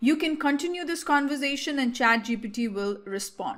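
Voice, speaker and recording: Speaking at a fairly quick pace with an Indian accent, a woman is heard in a very clean recording with a silent background. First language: Hindi. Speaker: tech tutorial creator. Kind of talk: tutorial. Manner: casual, hesitant with fillers.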